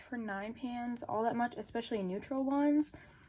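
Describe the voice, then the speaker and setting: High-pitched female speech with ordinary variation in pitch. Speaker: beauty vlogger. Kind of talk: casual product review. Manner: casual, frequent um fillers.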